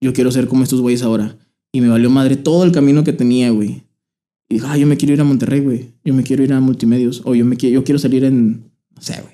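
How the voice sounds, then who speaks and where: A man talks at a very fast pace in a dark, mellow tone, his medium pitch held to fairly even intonation while his loudness swings widely. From Torreón, Coahuila, northern Mexico. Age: 20s. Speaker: musician. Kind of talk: casual chat.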